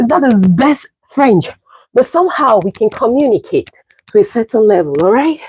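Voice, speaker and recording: The sound is dry and close, with no echo. The speech moves at a moderate pace with very wide pitch swings. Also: woman, high pitch for a woman. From Cameroon. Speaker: fitness livestreamer. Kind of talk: live stream chat during workout. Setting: livestream. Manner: animated.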